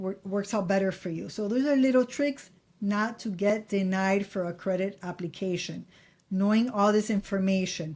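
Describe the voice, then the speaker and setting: A woman with a Miami accent talks at a moderate pace, her voice fairly high with ordinary pitch variation. The recording is very clean, with a silent background. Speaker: credit advice YouTuber. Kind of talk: casual tutorial to camera. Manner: casual, repeats for emphasis.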